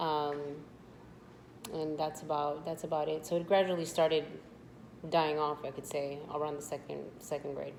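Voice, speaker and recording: With a very deep, low pitch and monotone, flat intonation, a woman talks at a moderate pace with long, frequent pauses. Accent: Spanish. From US, Spanish-speaking immigrant family. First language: Spanish. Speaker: interviewee, sister of channel owner. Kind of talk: casual interview. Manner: hesitant, many fillers.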